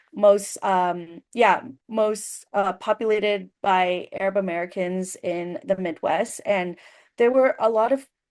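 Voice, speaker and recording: Against a quiet background, a woman speaks at a very slow pace with medium pitch and ordinary pitch variation. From US immigrant community. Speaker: journalist panelist. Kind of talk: panel discussion. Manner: many fillers and restarts.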